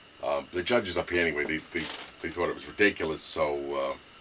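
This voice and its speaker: Over noticeable background noise, a man talks very fast with a Brooklyn accent. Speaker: gun enthusiast video maker. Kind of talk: casual show-and-tell. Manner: halting, many fillers.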